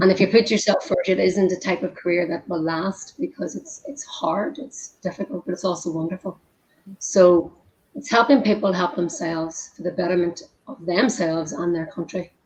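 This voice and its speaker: With an Irish accent, a woman speaks at a moderate pace and medium pitch, her intonation lively. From Ireland. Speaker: humanitarian worker, former nutritionist. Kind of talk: casual chat.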